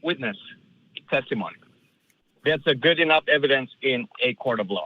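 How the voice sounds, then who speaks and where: A man with an Eastern European accent talks at a moderate pace in a fairly high pitch. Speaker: caller. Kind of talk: call-in debate.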